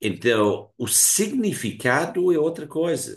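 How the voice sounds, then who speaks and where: A man with a Hungarian accent speaks at a very slow pace. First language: Hungarian (speaking Portuguese). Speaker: philosophy professor. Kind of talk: lecture. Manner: halting, many fillers.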